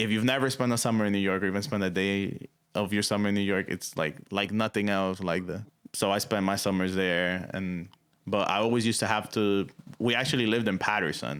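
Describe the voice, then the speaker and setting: Speaking at a fairly quick pace with very even loudness and fairly even intonation, a man with a Spanish accent has a fairly low pitch, captured on a very clean recording with a silent background. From Dominican Republic. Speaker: musician. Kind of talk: interview. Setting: radio studio. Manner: casual, many fillers.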